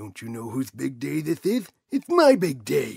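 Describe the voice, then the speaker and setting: A man uses a put-on character voice. It sits at a fairly high pitch. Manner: brash, insulting.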